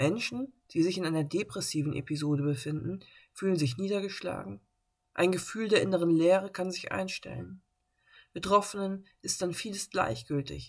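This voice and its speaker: With a normal speaking voice, a woman speaks at a moderate pace and a fairly low pitch, using lively intonation. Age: 30s. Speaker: podcast host living with bipolar disorder. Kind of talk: personal monologue podcast; scripted reading.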